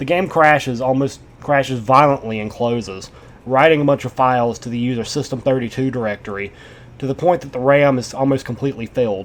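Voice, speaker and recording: A man's plain, everyday voice at a medium pitch, with ordinary pitch variation and a fairly quick pace. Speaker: creepypasta narrator. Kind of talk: reading aloud.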